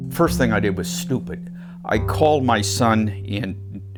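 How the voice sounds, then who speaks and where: A man's voice over background music. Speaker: navy veteran. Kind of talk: interview answer.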